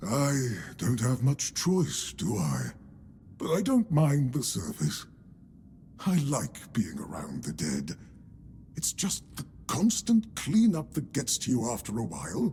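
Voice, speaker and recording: Using a put-on character voice, the speaker goes at a fairly slow pace with long, frequent pauses against clear background noise. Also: man, medium pitch for a man. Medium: video game. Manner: polite, dry, weary.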